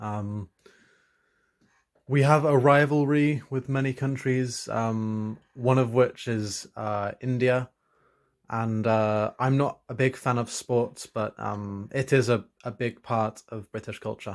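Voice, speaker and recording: Very slowly and with fairly even intonation, a man talks at medium pitch on a very clean recording with a silent background. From England, East Midlands (Leicester). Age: 20s. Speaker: student. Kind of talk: interview answers. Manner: hesitant, many fillers.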